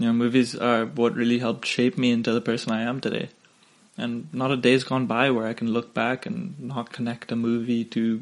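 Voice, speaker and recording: A man with a non-native accent talks at a moderate pace in a medium-pitched voice. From Singapore. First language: not English. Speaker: podcast host. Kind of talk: casual solo podcast monologue. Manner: hesitant, many fillers.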